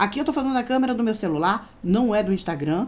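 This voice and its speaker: The speech runs at a very fast pace with very wide pitch swings and an animated tone. The voice is somewhat breathy. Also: woman. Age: 50s. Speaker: beauty vlogger. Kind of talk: casual vlog monologue. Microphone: phone near.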